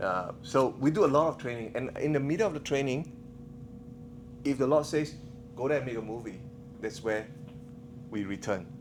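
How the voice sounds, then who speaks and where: With a Singaporean accent, a man uses lively intonation and long, frequent pauses in a room with audible echo. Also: medium pitch for a man. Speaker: missionary filmmaker. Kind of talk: conference talk. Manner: fast; animated.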